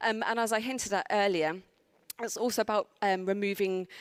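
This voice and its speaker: On a very clean recording with a silent background, a woman speaks with a South London accent at a medium pitch. Her pace is moderate, her intonation fairly even, and the sound dry and close with no echo. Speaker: conference speaker. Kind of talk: conference talk. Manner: hesitant, many fillers.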